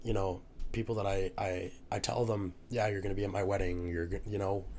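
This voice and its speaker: Fairly low male voice with a slight Newfoundland accent, very even loudness, fairly even intonation, a fairly quick pace and audible room echo. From Newfoundland, Canada. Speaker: university student, rugby player. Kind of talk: casual podcast interview. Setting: podcast recording, drinking margaritas.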